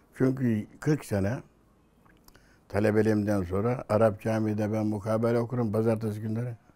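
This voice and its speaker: A man's fairly low, dark, mellow voice with monotone, flat intonation. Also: moderate pace. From Bolu, Turkey. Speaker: mevlit reciter. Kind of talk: oral history interview.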